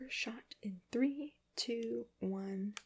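Soft-spoken and whispering, the speaker has a gentle tone. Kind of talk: directing a photo shoot. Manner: soft, gentle ASMR near-whisper. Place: home room.

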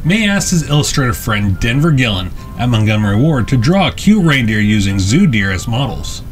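Over music in the background, a man talks at a very fast pace with very wide pitch swings. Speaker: channel narrator. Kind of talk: documentary narration.

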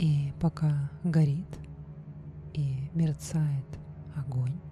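Over background music, a woman talks very slowly in a soothing tone at a very deep, low pitch. Her intonation stays monotone and flat. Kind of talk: guided meditation / hypnosis for lucid dreaming. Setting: studio recording with background music and binaural beat. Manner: slow, soft, soothing.

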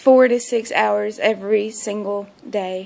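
A woman at a very slow pace. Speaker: fitness vlogger. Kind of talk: casual vlog chat. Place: home room. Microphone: phone near.

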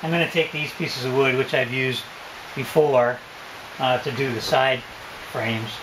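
A man talks at a moderate pace with fairly even intonation over noticeable background noise. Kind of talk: tutorial. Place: boat. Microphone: phone near.

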